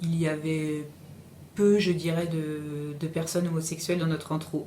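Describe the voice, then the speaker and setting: A woman's very deep, low voice at a fairly slow pace with fairly even intonation and audible room echo. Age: 40s. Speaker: interviewee. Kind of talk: interview testimony. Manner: halting, many hesitations.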